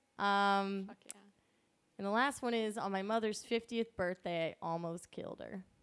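With an American accent and a plain, everyday voice, a woman at a medium pitch talks at a moderate pace with fairly even intonation. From Pennsylvania. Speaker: stand-up comedian. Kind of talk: casual chat.

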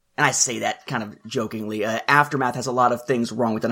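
A man at a medium pitch, speaking at a very fast pace. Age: 30s. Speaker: podcast co-host, fan timeline creator. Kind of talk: casual chat.

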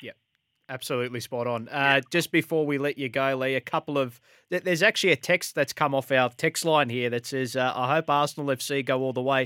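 With an Australian accent, a man speaks at a fairly quick pace with a fairly high pitch, a bright, sharp tone and fairly even intonation, in a very clean recording with a silent background and a dry, close sound with no echo. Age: 20s. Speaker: sports radio host. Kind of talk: casual chat. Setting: studio.

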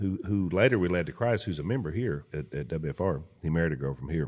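With a Louisiana accent, the speaker moves at a moderate pace through very wide pitch swings. The recording is very clean, with a silent background. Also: man. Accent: Louisiana Southern. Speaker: podcast co-host and pastor. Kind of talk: casual chat.

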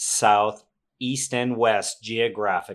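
A man speaks very slowly in a medium pitch. The recording is very clean, with a silent background. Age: 50s. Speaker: guest, father of the podcast host. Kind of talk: casual sports trivia game chat.

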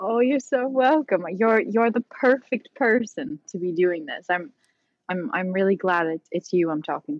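A plain, everyday voice from a woman, medium in pitch, with lively intonation, big swings in loudness and a moderate pace. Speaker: actor. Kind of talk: interview conversation. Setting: video call.

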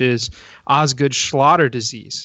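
A man with an American accent talks at a moderate pace in a fairly high pitch. It is a normal speaking voice, with fairly even intonation. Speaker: podcast co-host, football fan. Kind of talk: casual chat, sports podcast.

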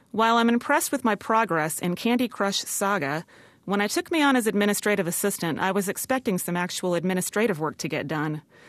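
Against a quiet background comes a plain, everyday voice, moving at a fairly quick pace with lively intonation. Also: woman. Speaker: freelance writer. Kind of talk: comedic monologue mocking a corporate pep talk. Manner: mock-formal, brisk managerial tone.

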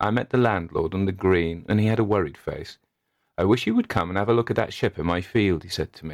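Ordinary pitch variation runs through an unforced reading voice set against a quiet background.

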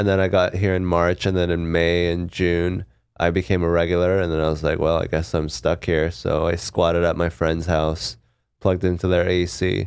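A man with a West Coast accent and a very deep, low pitch speaks in a monotone, flat intonation at a moderate pace in a very clean recording with a silent background. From Seattle, US. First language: Korean. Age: 30s. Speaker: stand-up comedian. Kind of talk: casual interview chat.

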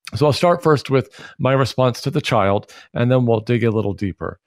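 Recorded with a dry, close sound and no echo, a man talks in a normal speaking voice at medium pitch with lively intonation. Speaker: pastor. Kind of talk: interview on faith and mental health.

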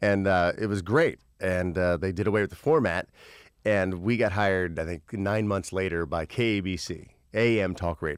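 A man with a very deep, low voice at a moderate pace, with ordinary pitch variation. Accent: American. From Indiana, US Midwest. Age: 40s. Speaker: radio host. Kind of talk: casual chat. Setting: studio.

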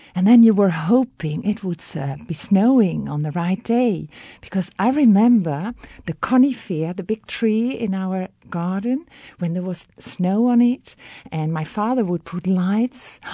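Over a quiet background, a woman with a Dutch accent speaks fairly slowly at a medium pitch, her dark, mellow tone somewhat breathy and her intonation lively. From Netherlands. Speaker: guest from the Netherlands. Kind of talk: interview, childhood memories.

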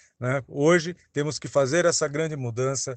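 A man speaks at a moderate pace in an ordinary speaking voice, with ordinary pitch variation. The background is quiet and the sound is dry and close with no echo. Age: 50s. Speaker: mayoral candidate, professor. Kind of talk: campaign statement.

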